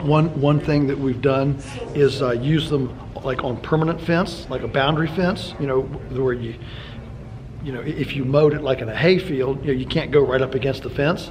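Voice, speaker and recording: Light background noise sits under a man's moderate pace and fairly even intonation. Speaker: interviewee. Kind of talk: interview answer. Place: meeting room.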